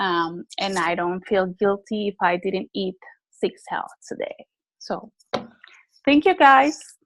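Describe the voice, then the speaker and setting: Her non-native accent, medium pitch and lively intonation come through as the woman speaks at a very slow pace with long, frequent pauses, in a dry, close sound with no echo. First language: not English. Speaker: network marketing distributor sharing testimony. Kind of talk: testimony. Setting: group call.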